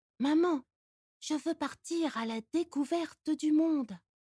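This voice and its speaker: A woman speaks at a very slow pace with a high pitch and ordinary pitch variation. Her tone is dark and mellow, and the sound is dry and close with no echo. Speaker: voice actor. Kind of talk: folk tale reading.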